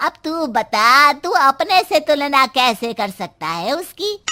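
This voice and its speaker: A woman performs a cartoonish character voice, high-pitched and at a fairly slow pace. Her pitch swings very widely. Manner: scolding, taunting.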